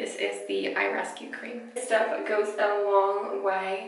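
In audible room echo, a woman speaks at a very slow pace. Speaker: beauty vlogger. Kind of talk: tutorial. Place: bathroom. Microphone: camera far.

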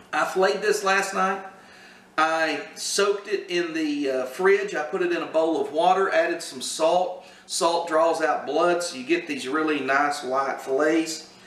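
Heard with audible room echo, a man with a high pitch talks at a fairly slow pace and with ordinary pitch variation. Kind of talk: cooking tutorial chat. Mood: relaxed, humorous. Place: kitchen. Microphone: camera far.

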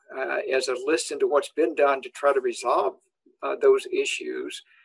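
A man with a Southern US accent at a moderate pace, quiet background behind him. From Tennessee, US South. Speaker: animal nutrition professor; guest. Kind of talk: interview. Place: office. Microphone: webcam.

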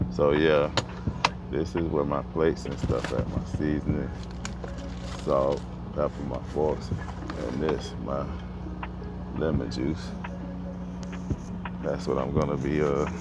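Music plays in the background as a man talks very slowly with long, frequent pauses, the sound dry with no echo. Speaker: truck driver vlogger. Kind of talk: casual vlog chat. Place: car. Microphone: earbuds.

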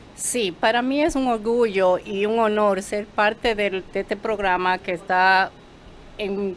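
At a very slow pace, a woman speaks with a fairly high pitch over light background noise. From Dominican Republic (Mao). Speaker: reality show cast member, businesswoman. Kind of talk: promotional interview chat. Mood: proud, warm. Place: studio. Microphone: studio mic.

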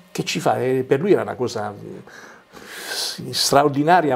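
This man talks at a very slow pace, his pitch rising and falling in an ordinary way. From Basilicata, Vulture area (Arbëreshë village); Basilicata. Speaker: writer and journalist. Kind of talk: interview. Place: studio. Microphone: lapel.

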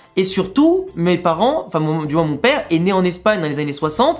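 With an animated tone, a man talks at a fairly quick pace in a high pitch. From France, Lyon; France. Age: 20s. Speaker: football YouTuber. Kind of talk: casual vlog monologue. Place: home room.

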